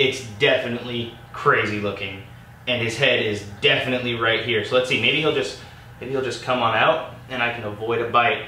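A man talks at a moderate pace, with audible room echo around him. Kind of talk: casual vlog chat. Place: home room.

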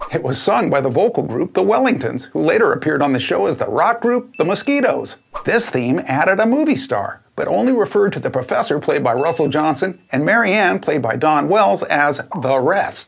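A man's fairly quick delivery with very wide pitch swings and hardly any pauses. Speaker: classic TV trivia host. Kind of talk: trivia commentary to camera. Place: home room. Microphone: lapel.

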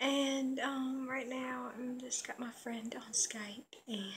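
A woman talks at a very slow pace. Her intonation is fairly even, with light background noise. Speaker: vlogger. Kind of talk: casual vlog chat. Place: home room. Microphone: phone near.

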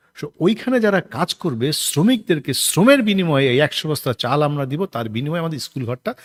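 A man speaks at a fairly high pitch with very wide pitch swings, in a dry, close sound with no echo. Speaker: stage actor. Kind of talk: interview.

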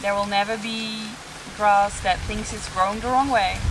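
A woman speaks in a calm, gentle tone. Noticeable background noise runs behind her. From Netherlands. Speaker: meditation teacher. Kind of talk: guided meditation. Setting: outdoors in a jungle on Bali, video. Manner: calm, gentle, soothing; slow, unhurried, reassuring.

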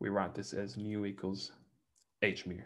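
A man with an Australian accent speaks at a moderate pace in a fairly low voice with vocal fry. His pitch swings very widely. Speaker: mathematics lecturer. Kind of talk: lecture. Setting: online lecture, church bell audible in background. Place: home room.

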